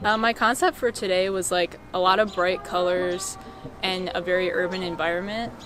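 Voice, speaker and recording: With an American accent, a woman speaks at a medium pitch and a fairly even intonation over noticeable background noise. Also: moderate pace. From US South, Georgia (Canton). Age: 20s. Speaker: photographer. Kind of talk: interview talk. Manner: casual, many filler words.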